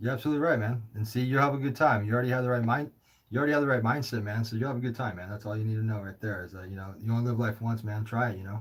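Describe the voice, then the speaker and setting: Somewhat breathy, a man talks at a very fast pace and a medium pitch. His intonation stays fairly even. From California. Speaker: livestream host taking calls. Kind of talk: casual call-in chat. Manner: casual, halting with filler words.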